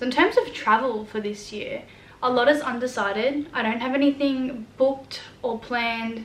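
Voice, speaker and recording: Over noticeable background noise, a woman with an Australian accent speaks at a moderate pace in a high voice with fairly even intonation. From New South Wales, Australia. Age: young. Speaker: vlogger. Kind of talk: casual talk to camera.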